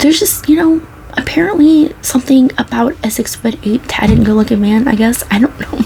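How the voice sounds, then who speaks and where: Over noticeable background noise, a soft-spoken woman talks at a fairly quick pace in a high pitch, her tone relaxed, her intonation lively and her loudness very even. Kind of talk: soft-spoken ASMR talk to camera. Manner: soft-spoken, relaxed, conversational.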